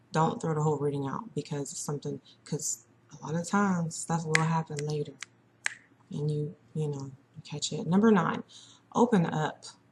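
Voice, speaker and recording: Soft-spoken, a woman with a very deep, low pitch talks at a moderate pace with ordinary pitch variation and long, frequent pauses. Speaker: psychic reader. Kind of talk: casual monologue. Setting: at home, early morning. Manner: chatty.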